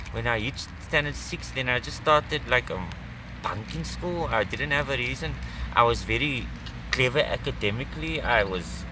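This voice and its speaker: The speech moves at a medium speed against noticeable background noise. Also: man. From South Africa, Cape Town. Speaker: homeless drug addict telling his story. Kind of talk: testimony. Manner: halting, with fillers.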